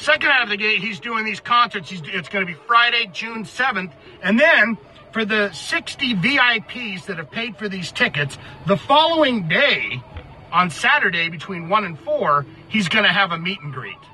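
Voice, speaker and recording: A man's raised, projected voice at a moderate pace, with very wide pitch swings, big swings in loudness, a dry sound with no echo, and light background noise. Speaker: music commentary vlogger. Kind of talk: casual vlog commentary. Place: car.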